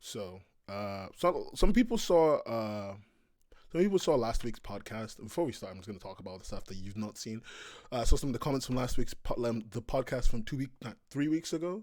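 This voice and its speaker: In a very clean recording with a silent background, a man with a British accent speaks at a medium pitch and a fairly quick pace, with lively intonation and big swings in loudness. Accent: British accent, acquired. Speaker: webcomics podcast host. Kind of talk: casual chat. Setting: livestream.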